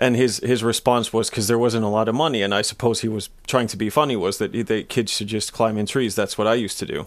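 A medium-pitched man talking at a very fast pace with hardly any pauses and fairly even intonation. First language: Finnish. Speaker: sports journalist. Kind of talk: casual chat.

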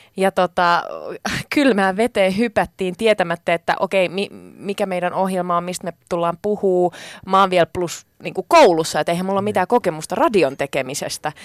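A woman with an unremarkable speaking voice talks at a moderate pace in a medium pitch with ordinary pitch variation, recorded very cleanly against a silent background with a dry, close sound and no echo. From Spain, then Finland from age 12. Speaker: radio journalist and show co-host. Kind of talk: casual chat.

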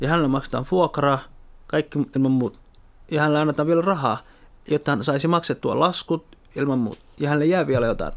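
This man's voice is fairly high in pitch, and he keeps a moderate pace. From Somalia. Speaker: party activist and politician. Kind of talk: interview.

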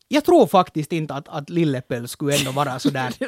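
The voice belongs to a man. The sound is dry and close, with no echo. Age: 30s. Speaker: podcast co-host. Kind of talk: casual chat.

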